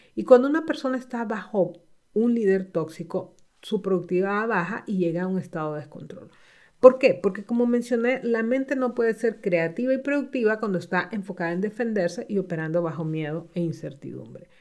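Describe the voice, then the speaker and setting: A woman speaks at a fairly quick pace and medium pitch, her intonation lively. The recording is very clean with a silent background. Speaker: executive coach and podcast host. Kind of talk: solo podcast talk.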